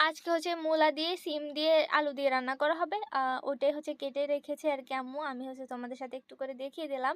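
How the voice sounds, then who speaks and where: A high-pitched woman with fairly even intonation and big swings in loudness, in dry, close sound with no echo. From Bangladesh, Noakhali. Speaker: vlogger. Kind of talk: casual vlog narration.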